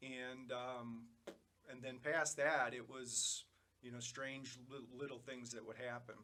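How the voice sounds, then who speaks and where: A man's medium-pitched, bright, sharp voice, very slow and monotone, with audible room echo. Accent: Chicago. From Chicago, south side. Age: 50s. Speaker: cancer patient, electrical engineer. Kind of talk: interview, personal story. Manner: halting, many fillers.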